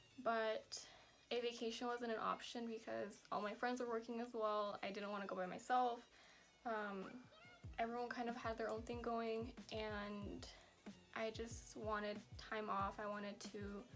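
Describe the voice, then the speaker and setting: With music in the background, a woman speaks slowly at a fairly high pitch in a monotone, flat manner. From US West Coast, San Francisco Bay Area. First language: Spanish. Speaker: vlogger. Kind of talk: casual Q&A vlog. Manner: casual, many fillers like 'like' and 'um'.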